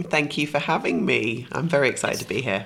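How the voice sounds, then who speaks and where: Woman in a put-on character voice, raspy and very deep, low-pitched, at a very fast pace. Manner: polished, professional podcast voice.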